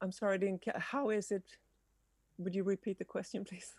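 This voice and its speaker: Dry and close with no echo, a woman's dark, mellow voice comes through with a non-native accent. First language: not English. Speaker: music industry panelist. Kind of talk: panel discussion. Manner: hesitant.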